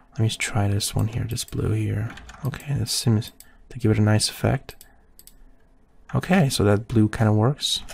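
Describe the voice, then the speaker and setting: A quiet, somewhat breathy man speaks at a moderate pace in a fairly low pitch, with ordinary pitch variation and long, frequent pauses. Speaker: photoshop tutorial creator. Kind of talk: tutorial. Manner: casual.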